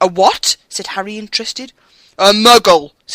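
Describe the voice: Against a quiet background, the clip offers plain reading aloud.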